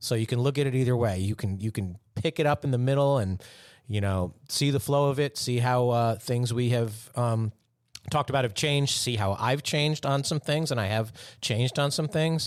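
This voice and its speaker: A man's medium-pitched voice at a moderate pace, very even in loudness, with ordinary pitch variation, on a very clean recording with a silent background. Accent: American. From US Northeast, Westchester County, New York. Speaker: podcast host. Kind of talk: casual chat. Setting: studio. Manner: conversational with many fillers.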